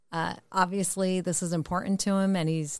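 A woman with a normal speaking voice talks fairly slowly at a medium pitch with fairly even intonation. The background is quiet. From Connecticut. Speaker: mother of co-host. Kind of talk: casual chat.

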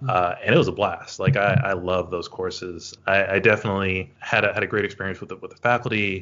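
Hardly pausing, a man with an American accent talks at a fairly quick pace, fairly low in pitch, with fairly even intonation. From US South, northwest Louisiana (Shreveport). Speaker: rhetoric scholar. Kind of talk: interview. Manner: halting, many repetitions.

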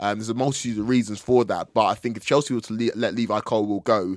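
On a very clean recording with a silent background and a dry, close sound with no echo, a man with a normal speaking voice talks at a fairly low pitch with fairly even intonation. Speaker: football pundit. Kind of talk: casual football chat.

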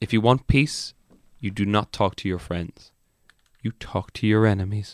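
Heard as a normal speaking voice, a man talks at a fairly low pitch and moderate pace with ordinary pitch variation, in a dry, close sound with no echo and a very clean recording with a silent background. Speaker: comedian podcast co-host. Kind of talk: casual comedic banter podcast. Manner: joking, banter, profane.

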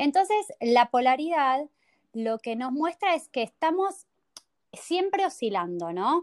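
A woman's voice with very wide pitch swings, a dry, close sound with no echo, and a very clean recording against a silent background. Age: 30s. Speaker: spiritual workshop teacher. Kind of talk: interview.

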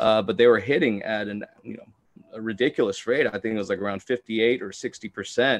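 Using a normal speaking voice, a man talks at a fairly quick pace and medium pitch, with fairly even intonation and big swings in loudness. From Texas, Houston. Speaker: sports betting analyst. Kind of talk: casual chat.

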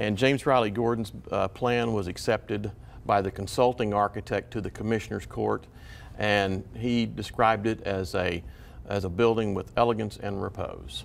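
A man with a Texan accent, fairly low pitch, vocal fry, ordinary pitch variation and a moderate pace. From Waco, Texas. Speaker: appeals court judge and author. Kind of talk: interview. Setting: studio.

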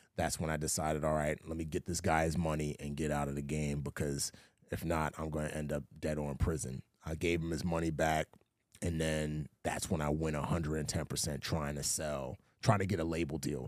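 A man with an American accent speaks at a very deep, low pitch. His pace is fairly quick and his intonation monotone and flat. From US, the Bronx, New York. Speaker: former Navy SEAL, actor and author. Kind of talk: interview.

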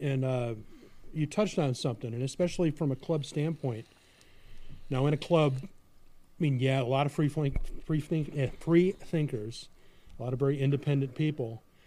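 A man with a dark, mellow tone and a fairly high pitch speaks at a moderate pace, leaving long, frequent pauses. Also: ordinary pitch variation. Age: 50s. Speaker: podcast host. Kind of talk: casual chat.

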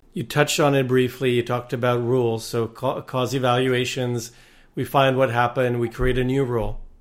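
His voice is medium in pitch. The man speaks in a monotone with flat intonation. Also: fairly quick pace. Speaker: podcast host. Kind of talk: interview.

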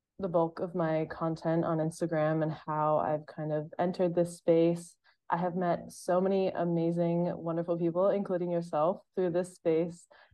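Her American accent and fairly low pitch mark this woman, who talks at a moderate pace. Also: monotone, flat intonation. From Massachusetts, US. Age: 20s. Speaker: retail store manager and content creator. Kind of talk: casual interview chat.

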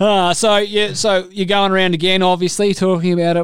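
Here a man talks at a fairly quick pace. His pitch is high, and he has an Australian accent. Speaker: cricket podcast host. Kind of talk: casual chat.

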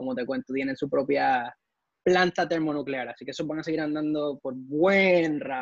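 A man has an ordinary speaking voice with a fairly high pitch. He talks at a moderate pace with ordinary pitch variation. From Ecuador, raised partly in Puerto Rico. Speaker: NASA engineer. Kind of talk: interview.

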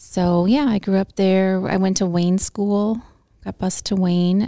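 A woman's dark, mellow voice at medium pitch, flat and monotone at a moderate pace, in dry, close sound with no echo. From US Midwest, Illinois. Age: 50s. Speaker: host's mother. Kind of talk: casual chat.

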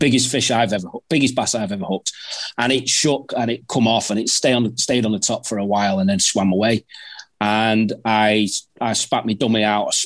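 A man in a Mancunian accent, fairly quick in pace and fairly even in intonation. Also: medium pitch for a man. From Manchester, northern England. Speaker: predator angler. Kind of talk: casual chat. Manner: halting, repeats words.

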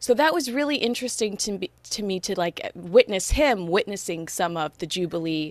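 With an American accent and hardly any pauses, a woman speaks in a dry, close sound with no echo, though there is noticeable background noise. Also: medium pitch for a woman, lively intonation, moderate pace. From Los Angeles, US. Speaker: podcast host. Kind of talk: casual interview chat.

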